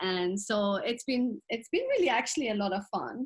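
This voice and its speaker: The pace is fairly slow. Pitch swings very widely throughout. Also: woman. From Middle East (Iran), then England from age 13. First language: Persian. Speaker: author. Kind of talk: podcast interview.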